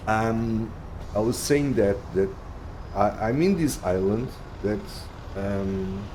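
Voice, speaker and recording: Delivered at a very slow pace in a Portuguese accent, the speech has long, frequent pauses and ordinary pitch variation, with audible room echo and noticeable background noise. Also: man, fairly low pitch for a man. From Portugal. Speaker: video game streamer. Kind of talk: live gameplay stream commentary. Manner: halting, many fillers and restarts.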